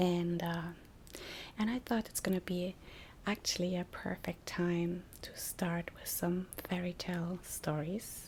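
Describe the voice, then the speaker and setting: Soft-spoken and very slow, the speaker talks with a non-native accent. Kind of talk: casual ASMR intro talk.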